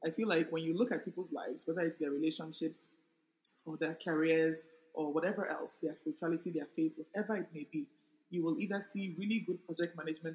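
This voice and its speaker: A woman's fairly low voice, a normal speaking voice, with ordinary pitch variation and a fairly quick pace. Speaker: author and project manager. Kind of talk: casual interview conversation. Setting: in a room with air conditioning.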